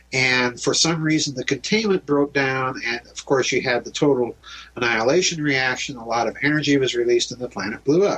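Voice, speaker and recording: A man with an American accent talks at a fairly quick pace in a fairly high voice, with ordinary pitch variation. Noticeable background noise runs behind him. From US Midwest, South Dakota. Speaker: author and researcher. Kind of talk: interview on radio show.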